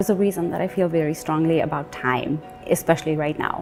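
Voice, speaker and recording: With music in the background, a woman talks at a fairly low pitch with fairly even intonation. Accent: Nepali. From Nepal, Kathmandu. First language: Nepali. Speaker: award honoree. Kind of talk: video interview.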